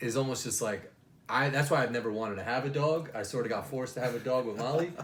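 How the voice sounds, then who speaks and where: A man with an American accent talks very fast in a medium pitch, his tone animated and his pitch variation ordinary. Audible room echo and noticeable background noise surround him. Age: 30s. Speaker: podcast host. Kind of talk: casual chat.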